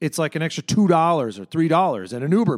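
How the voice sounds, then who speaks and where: Recorded very cleanly against a silent background, a man with an unremarkable speaking voice talks at a fairly high pitch and a fairly quick pace. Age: 40s. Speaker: restaurant owner. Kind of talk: interview. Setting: cocktail lounge.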